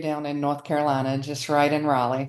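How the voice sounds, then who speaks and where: This woman talks at a very fast pace. She has a slight Southern US accent. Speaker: marketing executive. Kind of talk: interview.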